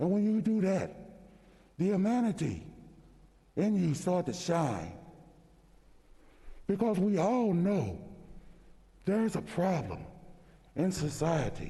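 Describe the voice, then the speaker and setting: Amid audible room echo, a man with a high pitch and a dark, mellow tone speaks with very even loudness and long, frequent pauses. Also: ordinary pitch variation, fairly slow pace. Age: 60s. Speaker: state senator. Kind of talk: legislative floor speech. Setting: senate chamber. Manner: impassioned.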